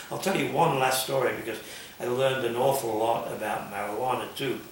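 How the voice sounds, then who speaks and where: Over noticeable background noise and audible room echo, a man talks at a fairly quick pace with medium pitch and fairly even intonation. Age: 80s+. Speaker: underground newspaper journalist. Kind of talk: interview. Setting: bookstore.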